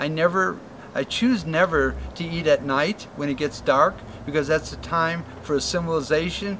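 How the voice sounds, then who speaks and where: Noticeable background noise sits behind a man with a fairly high pitch. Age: 70s. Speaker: tropical fruit farmer. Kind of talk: interview answer. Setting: outdoors.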